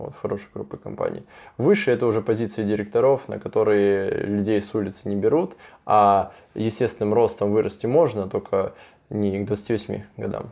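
A moderate pace with big swings in loudness against a quiet background. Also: man. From southern Russia. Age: 20s. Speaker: construction company owner. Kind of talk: interview.

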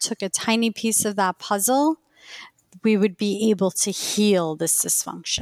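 Medium-pitched woman in an Iranian accent, moderate pace, ordinary pitch variation, very clean recording over a silent background. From Queens, New York. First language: Farsi. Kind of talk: casual interview conversation.

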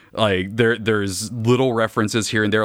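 An unremarkable speaking voice carries ordinary variation in pitch. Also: man. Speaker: podcaster and game fan. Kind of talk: casual banter about a video game.

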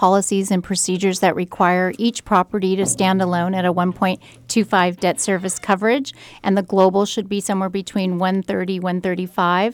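Fairly quick speech from a woman with a normal speaking voice and medium pitch, on a very clean recording with a silent background. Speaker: commercial lender. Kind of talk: radio interview.

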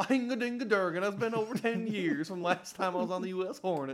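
A gruff put-on character voice, very fast, with lively intonation. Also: man, high pitch for a man. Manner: gruff, gibberish-mocking.

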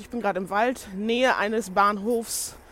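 The talking proceeds at a moderate pace. The background is silent, and the recording is very clean. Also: woman. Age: 20s. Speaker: podcaster and blogger, fashion design student. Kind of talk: casual solo monologue. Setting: recorded on the go.

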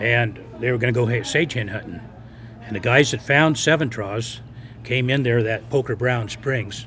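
A man with an American accent, fairly even intonation and noticeable background noise. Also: medium pitch for a man, moderate pace. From Lovelock, Nevada. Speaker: local resident and storyteller. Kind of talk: interview, storytelling. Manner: halting, repetitive.

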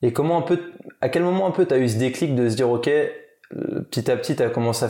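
A man in a plain, everyday voice at a fairly quick pace, with ordinary pitch variation. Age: 30s. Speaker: podcast host. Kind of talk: casual interview.

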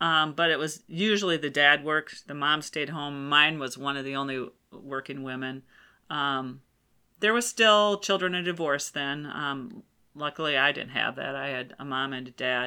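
A woman speaks at a moderate pace with a very deep, low pitch, a bright, sharp tone, ordinary pitch variation, big swings in loudness and an American accent, on a very clean recording with a silent background. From US Midwest. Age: 50s. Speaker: insurance executive. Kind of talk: casual chat.

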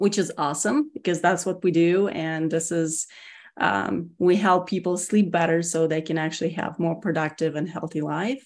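A woman with a slight Russian accent and a fairly low pitch, over a quiet background. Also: ordinary pitch variation, moderate pace. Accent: Russian-accented English, slight to moderate. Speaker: security executive (CISO). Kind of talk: casual interview.

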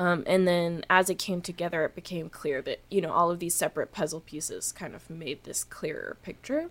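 A woman with a Canadian accent and an ordinary speaking voice, fairly low pitch, fairly even intonation, hardly any pauses and big swings in loudness. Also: fairly quick pace. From Canada. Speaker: musician. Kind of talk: casual interview chat. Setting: studio.

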